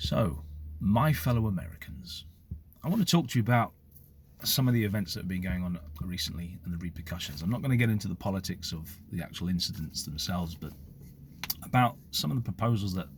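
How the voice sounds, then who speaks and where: Somewhat breathy speech in a British accent moves at a very fast pace yet is broken by long, frequent pauses. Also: man. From United Kingdom. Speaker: former police officer, commentator. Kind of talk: opinion monologue to camera.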